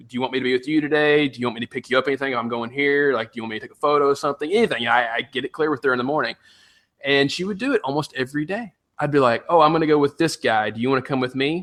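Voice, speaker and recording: Rushing at a very fast pace, a man with a fairly high pitch and ordinary pitch variation swings widely in loudness. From Tennessee. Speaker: podcast co-host. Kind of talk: storytelling on a podcast. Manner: casual, humorous.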